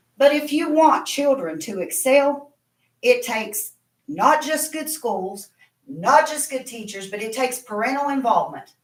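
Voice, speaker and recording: In an Appalachian accent, a woman speaks fairly slowly in a high voice with lively intonation. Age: 60s. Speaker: parent speaking at public comment. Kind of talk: public comment at board meeting.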